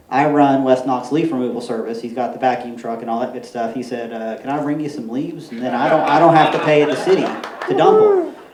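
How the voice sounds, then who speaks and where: Through audible room echo, a man talks at a fairly quick pace in a fairly high voice. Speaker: permaculture consultant and speaker. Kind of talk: conference talk. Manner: fast.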